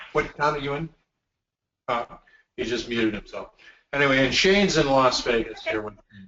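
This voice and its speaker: Speaking at a fairly quick pace with long, frequent pauses, a man uses a fairly high pitch and ordinary pitch variation. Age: 60s. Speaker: company executive. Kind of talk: training webinar. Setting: video call.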